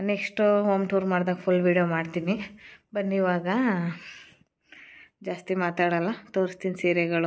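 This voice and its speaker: Her intonation is monotone and flat, at a fairly low pitch for a woman. The recording is very clean, with a silent background. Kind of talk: cooking and home vlog. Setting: at home. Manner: casual, chatty.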